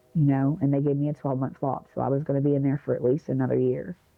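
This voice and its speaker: Speaking at a very fast pace, a woman with an American accent has a very deep, low pitch. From Ohio. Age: 40s. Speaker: recovering addict, former prisoner. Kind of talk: testimony. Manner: casual, conversational.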